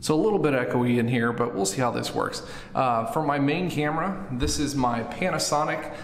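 A man's voice carries audible room echo. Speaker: vlogger. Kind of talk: casual tutorial vlog chat. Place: bathroom. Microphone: phone near.

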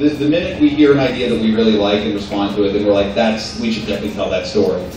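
Strong room echo and light background noise surround a man talking at a very fast pace with ordinary pitch variation. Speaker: guest. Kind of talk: interview answer. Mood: upbeat, joking. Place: hall.

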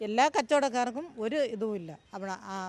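A woman in an unremarkable speaking voice uses a fairly high pitch and lively intonation. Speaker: market trader. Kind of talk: street interview. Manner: agitated.

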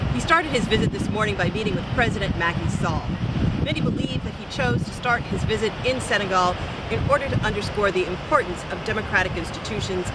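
A woman talks at a very fast pace over loud background noise. The sound is dry, with no echo. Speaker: news presenter. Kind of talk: news reading, polished broadcast report. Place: beach.

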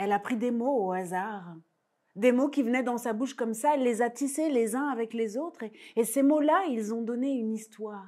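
Against a quiet background, a soft-spoken woman talks with a dark, mellow tone. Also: ordinary pitch variation. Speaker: storyteller. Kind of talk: oral folk tale telling for young children, myth-like origin story. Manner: rhythmic, incantatory repetitions with deliberate hesitations ("il a dit, il a dit"); intimate, suspenseful delivery, softly building tension. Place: stage. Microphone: lapel.

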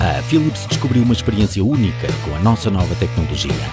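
A man's fairly quick speech, dry with no echo, over clear music in the background. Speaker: voice actor. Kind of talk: TV commercial read. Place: booth. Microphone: studio mic.

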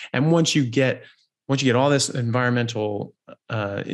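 The background is quiet. A man speaks at a moderate pace with fairly even intonation. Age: 40s. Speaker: doctor and health podcast host; health podcast host. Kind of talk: interview. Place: home room. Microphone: studio mic.

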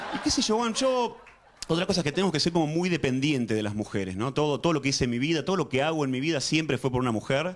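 Animated and very fast, a man speaks with a fairly high pitch and very wide pitch swings. His loudness stays very even. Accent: Rioplatense. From Argentina. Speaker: stand-up comedian. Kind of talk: stand-up comedy routine. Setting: stage with audience. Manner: animated, conversational, stammering and repeating words as comic timing; cheeky, self-deprecating storyteller with punchline delivery and audience interplay. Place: studio. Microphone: handheld.

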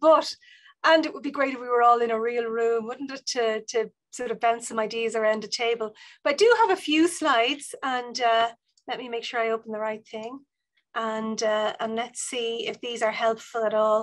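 With a Dublin accent, a woman speaks at a moderate pace and a fairly high pitch, her loudness swinging widely against a quiet background. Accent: Dublin Irish. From Ireland, Dublin North Inner City; Ireland. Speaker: university vice provost and professor. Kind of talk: online seminar talk. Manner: animated. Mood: warm, friendly. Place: office. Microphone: video call.

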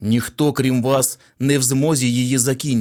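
This is an unforced reading voice. Nothing more stands out.

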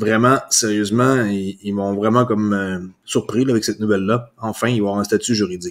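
An ordinary speaking voice moves at a moderate pace with fairly even intonation. The recording is very clean, with a silent background. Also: man. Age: 40s. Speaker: crypto YouTuber. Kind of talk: solo news commentary. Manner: casual with frequent fillers.

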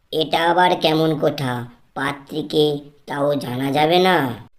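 This cartoonish character voice is raspy, sitting at a low-to-middle pitch. It moves at a fairly slow pace. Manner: naive, excitable.

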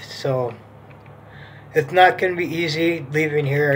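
Light background noise behind a male speaker. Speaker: vlogger. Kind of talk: casual vlog chat. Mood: calm, hopeful. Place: home room. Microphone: phone near.

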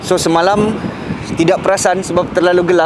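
Over loud background noise, a man's voice comes through with a dry sound and no echo. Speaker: vlogger. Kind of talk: casual vlog chat. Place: street.

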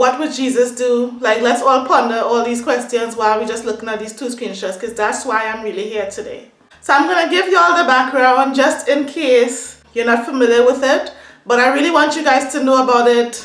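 In a room with audible echo, a woman speaks at a fairly quick pace in an animated tone, high in pitch with ordinary pitch variation. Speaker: beauty and hair vlogger. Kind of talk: casual rant to camera. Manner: animated, upset. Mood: upset, indignant.

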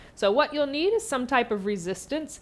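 High pitch from a woman at a moderate pace, with very wide pitch swings. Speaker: fitness instructor. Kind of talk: tutorial.

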